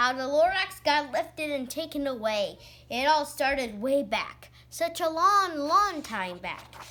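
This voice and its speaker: Talking at a fairly slow pace with hardly any pauses, a woman puts on a nasal character voice. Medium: read story. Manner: pushy, salesman-like.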